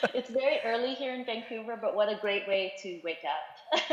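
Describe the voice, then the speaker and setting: A woman's fairly high voice carries lively intonation against noticeable background noise. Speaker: theatre artistic director. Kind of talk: panel talk.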